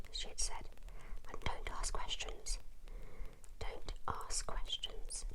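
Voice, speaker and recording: A soft-spoken whisper at a fairly slow pace, with noticeable background noise behind it. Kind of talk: whispered ASMR book reading. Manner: whispered, soft.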